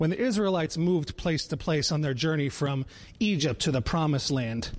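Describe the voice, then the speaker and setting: With an American accent, a man speaks in a plain, everyday voice at a moderate pace with lively intonation. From Connecticut (Danbury). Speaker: children's pastor. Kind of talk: sermon. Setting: church live-stream.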